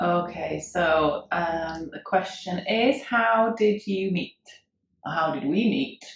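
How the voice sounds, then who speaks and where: With a Yorkshire accent, a woman speaks very slowly at a medium pitch, her intonation lively. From Wakefield, Yorkshire, England. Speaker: cover band singer. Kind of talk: casual chat.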